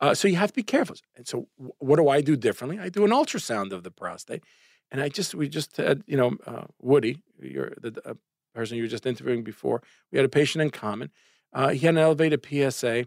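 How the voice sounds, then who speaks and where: Very fast, lively intonation with vocal fry and big swings in loudness, in a dry, close sound with no echo. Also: man, fairly high pitch for a man. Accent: Brooklyn. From Brooklyn, New York. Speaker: urologist. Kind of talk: casual interview chat. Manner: animated.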